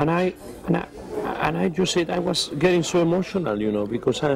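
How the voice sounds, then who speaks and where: A man with a Spanish accent and a fairly high pitch, with ordinary pitch variation and noticeable background noise. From Spain. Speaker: opera tenor. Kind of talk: interview answer.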